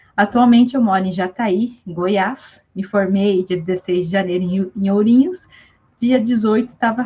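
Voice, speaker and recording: At a fairly slow pace, a somewhat breathy voice speaks with fairly even intonation. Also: woman. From southern Brazil (Rio Grande do Sul). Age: 20s. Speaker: psychologist. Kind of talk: casual interview. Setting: online live stream.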